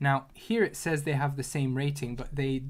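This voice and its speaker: A man speaks at a moderate pace in a fairly high, somewhat breathy voice. His intonation stays fairly even. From Hungary. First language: Hungarian. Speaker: data analyst streamer. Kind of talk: livestream tutorial and casual chat. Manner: halting, many repeated words.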